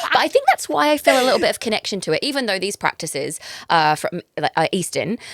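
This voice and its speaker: Very fast, fairly high female speech with very wide pitch swings and vocal fry, dry and close with no echo. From England. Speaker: breathwork facilitator. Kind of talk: casual chat. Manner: hesitant, with many fillers.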